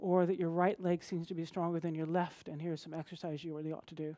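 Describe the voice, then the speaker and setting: A woman's fairly low, dark and mellow voice, flat and monotone, against a quiet background. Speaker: conference speaker. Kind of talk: conference talk. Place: stage.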